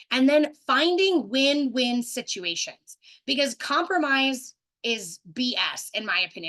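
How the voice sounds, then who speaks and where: With lively intonation, a woman speaks at a high pitch in a bright, sharp tone. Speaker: relationship coach. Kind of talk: webinar presentation. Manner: fast.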